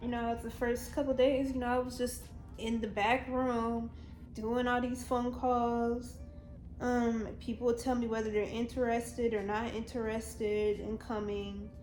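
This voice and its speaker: With music playing behind her and audible room echo, a woman speaks quietly at a fairly slow pace in a fairly high, monotone, flat voice. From Virginia. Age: young. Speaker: YouTuber. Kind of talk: storytime vlog.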